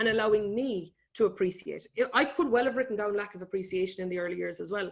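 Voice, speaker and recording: This woman's pitch is fairly high with ordinary variation, and she talks very fast. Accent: Irish. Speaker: economist and business speaker. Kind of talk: webinar presentation. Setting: online webinar.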